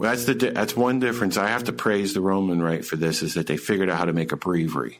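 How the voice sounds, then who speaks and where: A man's very deep, low voice with vocal fry, lively intonation and very even loudness, at a very fast pace with hardly any pauses. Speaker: podcast host. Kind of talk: casual chat. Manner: halting.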